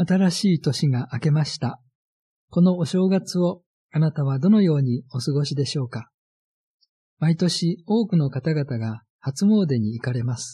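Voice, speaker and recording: A man with a dark, mellow, somewhat breathy tone talks at a fairly slow pace. His pitch is fairly high and his intonation lively. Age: 70s. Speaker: radio pastor. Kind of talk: sermon.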